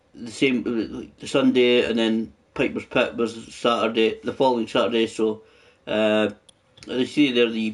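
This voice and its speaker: The delivery moves at a fairly slow pace. Its intonation is monotone and flat. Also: man. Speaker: gaming YouTuber. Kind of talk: game live stream commentary. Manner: casual, hesitant with many fillers.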